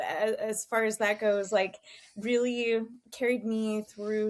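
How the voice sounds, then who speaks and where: A woman with an American accent and an ordinary speaking voice, fairly high in pitch and fairly slow in pace. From Texas. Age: 40s. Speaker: fitness coach and business owner. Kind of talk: podcast interview.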